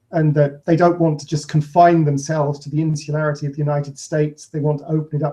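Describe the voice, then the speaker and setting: Speaking very fast with a British accent, a man has a fairly high pitch and a flat, monotone delivery. His tone is dark and mellow, and somewhat breathy. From Britain. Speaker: podcast co-host, author. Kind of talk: casual chat.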